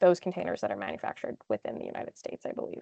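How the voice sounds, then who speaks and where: A woman's voice in a dry, close sound with no echo. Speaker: engineer, webinar guest speaker. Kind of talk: webinar Q&A. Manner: fast.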